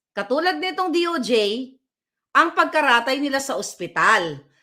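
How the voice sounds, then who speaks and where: A woman uses a raised, projected voice with a bright, sharp, animated tone, a high pitch and very wide pitch swings. She speaks at a fairly slow pace on a very clean recording with a silent background. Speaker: political vlogger. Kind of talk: political commentary rant. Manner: loud.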